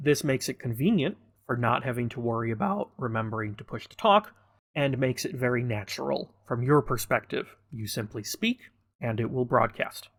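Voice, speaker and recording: On a very clean recording with a silent background, a man talks at a fairly quick pace and medium pitch. His somewhat breathy voice has lively intonation and big swings in loudness. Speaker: gaming tutorial creator. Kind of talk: tutorial.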